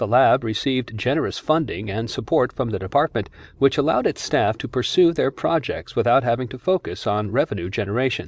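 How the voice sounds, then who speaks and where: A man with an ordinary speaking voice at medium pitch talks at a fairly quick pace with lively intonation and hardly any pauses, recorded with a dry, close, echo-free sound against a quiet background. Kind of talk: audiobook narration. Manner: formal; even, measured.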